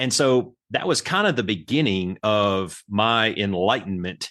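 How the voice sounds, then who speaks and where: The speaker talks with a Southern US accent against a quiet background. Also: man. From Alabama. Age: 40s. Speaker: military veteran and youth coach. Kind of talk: podcast interview. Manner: casual, animated.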